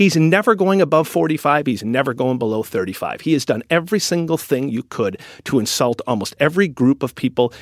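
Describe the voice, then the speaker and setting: With a Wisconsin accent, the speaker talks at a fairly quick pace with very wide pitch swings, in a very clean, dry, close recording with a silent background and no echo. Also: man. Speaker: news editor and media founder. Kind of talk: interview.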